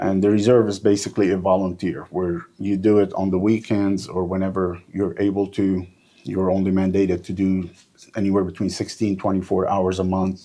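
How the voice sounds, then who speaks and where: A man's very deep, low voice carries a dark, mellow tone and monotone, flat intonation. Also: moderate pace. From North Lebanon. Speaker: police officer. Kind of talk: interview.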